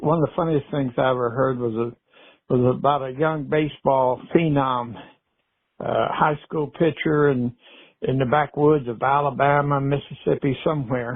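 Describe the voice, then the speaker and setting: A man's fairly high voice at a moderate pace, with fairly even intonation and a normal speaking voice. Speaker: storyteller. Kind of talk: podcast storytelling. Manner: relaxed, folksy.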